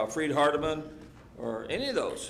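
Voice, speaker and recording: An American accent amid audible room echo and noticeable background noise. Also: man. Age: 70s. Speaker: Bible class teacher. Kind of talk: Bible class discussion.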